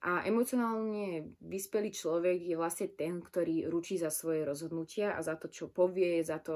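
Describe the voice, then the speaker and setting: A woman speaks at a moderate pace in an unremarkable speaking voice. Her pitch is fairly low and her intonation fairly even. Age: 20s. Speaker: podcaster. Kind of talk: personal monologue.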